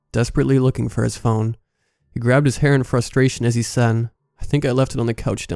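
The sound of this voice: Here is an unforced reading voice, its intonation fairly even. Nothing else can be heard around it.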